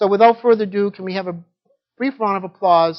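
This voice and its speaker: The pace is fairly quick. The speaker has a Boston accent. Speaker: session moderator. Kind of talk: conference introduction. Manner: hesitant, many fillers.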